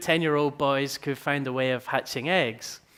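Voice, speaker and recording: The man's pitch is fairly high. He talks at a moderate pace. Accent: Edinburgh. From Scotland, Edinburgh. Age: 20s. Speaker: entrepreneur, company founder. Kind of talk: conference talk.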